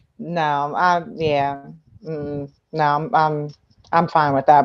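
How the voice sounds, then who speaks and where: A woman with an American accent, fairly low-pitched, at a very slow pace. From New Jersey, Trenton. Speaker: actress. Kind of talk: casual interview chat.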